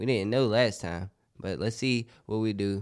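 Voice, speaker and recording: A man with a fairly low pitch on a very clean recording, silent background. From Florida. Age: young. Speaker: social media influencer. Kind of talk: casual chat. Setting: studio.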